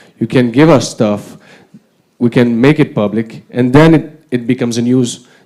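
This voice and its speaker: With a non-native accent, a man speaks at a moderate pace and a medium pitch. His tone is dark and mellow, his intonation fairly even. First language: not English. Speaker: politician. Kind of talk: panel discussion. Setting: conference with audience.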